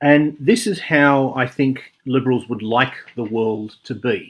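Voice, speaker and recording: With an Australian accent, fairly even intonation and a very clean recording against a silent background. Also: man. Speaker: video essayist. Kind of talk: spoken commentary monologue.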